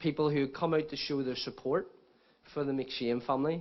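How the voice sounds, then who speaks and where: Speaking in a Northern Irish accent, a man talks at a fairly quick pace and a fairly high pitch. His intonation is flat and monotone. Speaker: book author. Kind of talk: speech at book launch. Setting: stage with audience.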